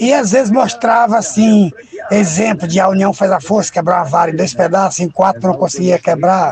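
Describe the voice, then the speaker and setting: A man speaks at a moderate pace in a high voice, with music playing in the background. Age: 70s. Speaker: radio listener. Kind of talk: listener voice message.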